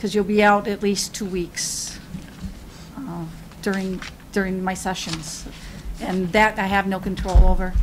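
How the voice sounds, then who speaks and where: A woman with an American accent speaks at a medium pitch and a fairly slow pace, with long, frequent pauses and noticeable background noise. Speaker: city assessor. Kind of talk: public meeting remarks. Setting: city commission meeting. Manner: halting.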